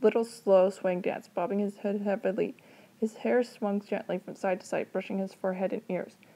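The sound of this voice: An unforced reading voice is heard. The intonation stays fairly even.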